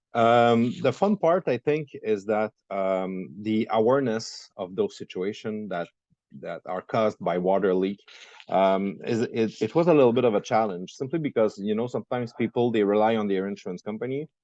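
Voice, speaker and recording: A man in a French Canadian accent talks at a moderate pace and medium pitch, his tone dark and mellow, the sound dry and close with no echo. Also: ordinary pitch variation. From Quebec. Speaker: entrepreneur. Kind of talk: interview. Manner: halting.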